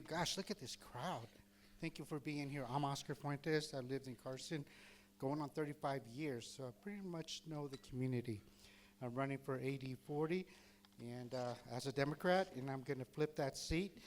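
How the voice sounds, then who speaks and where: Speaking at a moderate pace, a man with an unremarkable speaking voice has a fairly high pitch and ordinary pitch variation. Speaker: political candidate. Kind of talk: campaign speech. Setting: venue with live audience.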